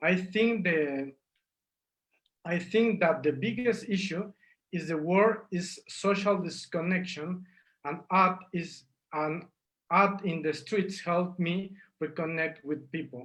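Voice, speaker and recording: With a Spanish accent, a man speaks at a high pitch and a very slow pace. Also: ordinary pitch variation. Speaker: street artist. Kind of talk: interview.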